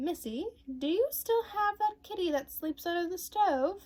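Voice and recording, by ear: A woman performs a put-on character voice at an extremely high pitch. She keeps a moderate pace.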